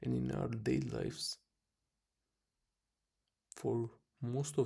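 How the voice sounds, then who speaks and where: Whispering from a man. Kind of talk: casual talk to camera. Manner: whispered.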